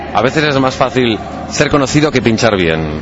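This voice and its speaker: A man speaks fairly slowly with very wide pitch swings. Audible room echo and noticeable background noise surround him. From Spain, Catalonia (Balaguer, Lleida). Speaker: DJ. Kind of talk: interview. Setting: outdoors in a parking lot.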